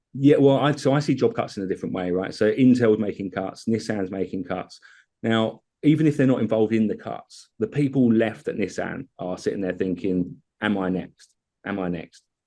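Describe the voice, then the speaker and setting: A man's dark, mellow voice at a medium pitch with ordinary pitch variation, against a quiet background. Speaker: tech company CEO and co-founder. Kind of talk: product demo in podcast interview. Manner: fast.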